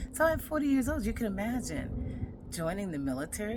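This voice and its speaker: At a moderate pace, a woman's voice swings very widely in pitch and shows vocal fry. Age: 60s. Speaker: podcast host, retired military veteran. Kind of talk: personal podcast monologue. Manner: conversational.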